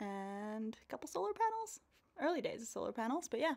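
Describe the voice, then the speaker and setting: A woman's bright, sharp, fairly high voice with a Canadian accent at a moderate pace. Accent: sounds Canadian. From rural New Zealand, later Canada. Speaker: professional mountain biker. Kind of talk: podcast interview. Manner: casual, laid-back.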